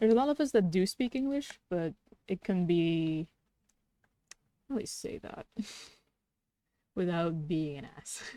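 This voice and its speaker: A woman with a slight Dutch accent has a dark, mellow tone, very wide pitch swings and big swings in loudness. She leaves long, frequent pauses, and the sound is dry and close with no echo. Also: medium pitch for a woman, fairly slow pace. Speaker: streamer and artist. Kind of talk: casual chat while drawing on livestream.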